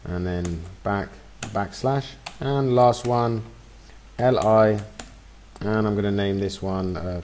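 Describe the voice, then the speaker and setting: Over noticeable background noise, a man with a fairly low pitch talks at a very slow pace with ordinary pitch variation and long, frequent pauses. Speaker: web design tutor. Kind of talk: screen-recorded tutorial. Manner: casual, with fillers.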